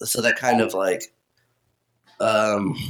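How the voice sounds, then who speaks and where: A man speaks with music playing in the background. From Kansas, US. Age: 20s. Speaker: interviewer, friend of host. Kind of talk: casual interview.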